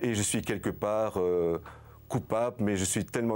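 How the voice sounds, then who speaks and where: Moderate speed and fairly low pitch from a man, in a plain, everyday voice. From Belgium, Luxembourg province. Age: 60s. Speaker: filmmaker and video journalist. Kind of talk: interview.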